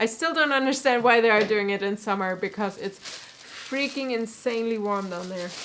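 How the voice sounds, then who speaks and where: A fairly high-pitched woman with a southwestern German accent, amid noticeable background noise. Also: ordinary pitch variation, fairly quick pace. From southwestern Germany. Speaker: cosplayer and costume maker. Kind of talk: casual live stream tutorial chat.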